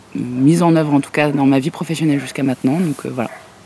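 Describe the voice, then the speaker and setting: A woman with a very deep, low pitch speaks with fairly even intonation against noticeable background noise. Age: 30s. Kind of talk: interview.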